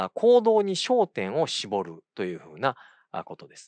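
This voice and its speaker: A man speaks at a fairly slow pace in a fairly high voice, his pitch swinging very widely, with a dry sound that has no echo and a quiet background. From Kyoto, Japan; Japan. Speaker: occupational therapist and university lecturer; occupational therapy lecturer. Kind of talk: lecture. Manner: halting, many fillers; polite formal speech. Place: studio. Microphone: lapel.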